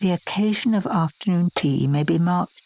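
Noticeable background noise sits behind a woman speaking at a fairly low pitch with lively intonation. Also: dry, close sound with no echo. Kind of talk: sleep story. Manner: soft-spoken, slow.

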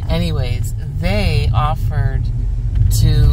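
Loud noise runs through the background. The sound itself is dry, with no echo. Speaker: travel vlogger. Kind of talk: casual vlog chat. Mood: relaxed, warm. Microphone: phone near.

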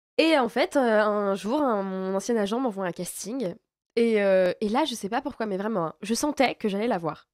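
A woman's fairly high voice at a fairly slow pace with ordinary pitch variation, dry with no echo, over a quiet background. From France. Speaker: actress. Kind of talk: interview. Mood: warm, enthusiastic. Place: studio. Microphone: studio mic.

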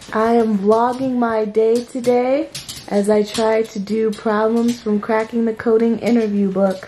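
A woman uses a robotic, put-on character voice, fairly high in pitch and monotone with flat intonation, at a moderate pace over clear background noise.

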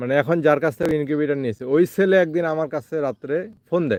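Fairly high-pitched with ordinary pitch variation, a man talks in an ordinary speaking voice. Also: dry, close sound with no echo. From Bangladesh, Thakurgaon. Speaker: incubator maker and seller. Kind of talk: casual vlog monologue. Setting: outdoors in a garden.

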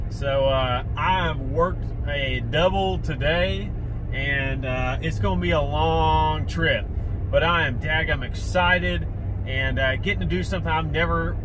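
The speech moves at a fairly slow pace, with noticeable background noise present. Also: man. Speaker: fishing vlogger. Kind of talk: casual vlog chat. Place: car. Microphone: phone near.

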